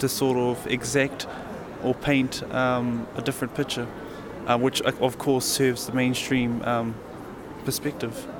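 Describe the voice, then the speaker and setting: The speaker goes at a fairly slow pace with a monotone, flat intonation. Noticeable background noise runs behind the voice. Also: man. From New Zealand. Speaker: young Maori activist, film subject. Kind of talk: interview. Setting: hotel lobby.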